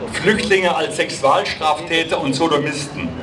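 Fairly slow speech from a man with a fairly high pitch, over noticeable background noise. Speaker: rally speaker for an antifascist association. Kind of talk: rally speech at a demonstration, formal and prepared. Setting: outdoors, PA system at a protest. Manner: formal; earnest and steady, address to comrades. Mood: serious, critical. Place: street. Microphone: handheld.

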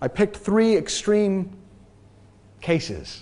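This speaker is a man. An American accent comes through in his speech. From New England, US (near Boston, Massachusetts). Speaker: transformation coach. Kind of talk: talk to an audience. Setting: stage with audience. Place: hall.

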